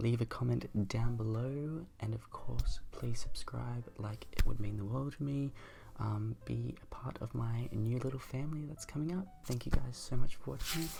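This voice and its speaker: Soft-spoken, a man talks at a moderate pace. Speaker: makeup youtuber. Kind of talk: makeup tutorial outro. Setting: home at night.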